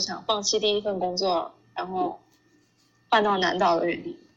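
At a moderate pace and with ordinary pitch variation, the speaker has a plain, everyday voice. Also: woman. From China. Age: 20s. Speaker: working holiday traveler. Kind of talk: interview.

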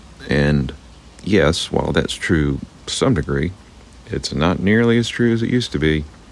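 Long, frequent pauses break up a man's very deep, low voice, which has lively intonation against noticeable background noise. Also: moderate pace. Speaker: podcast host. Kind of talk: solo monologue. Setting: outdoors. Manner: halting.

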